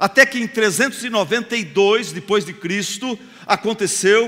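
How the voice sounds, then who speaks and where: A man speaks at a moderate pace in a raised, projected voice, his tone animated and his pitch variation ordinary. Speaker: pastor. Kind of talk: sermon.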